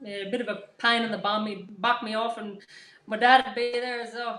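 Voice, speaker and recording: A woman with a strong Australian accent, high in pitch with a bright, sharp tone, at a moderate pace. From rural Queensland, Australia. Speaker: mother and fitness program participant. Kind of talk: live online interview. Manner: hesitant.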